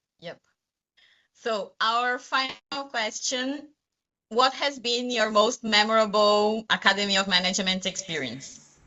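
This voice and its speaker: Pausing long and often, a woman with a fairly high pitch speaks at a fairly slow pace with ordinary pitch variation. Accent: non-native. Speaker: junior academic, interviewer. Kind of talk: interview.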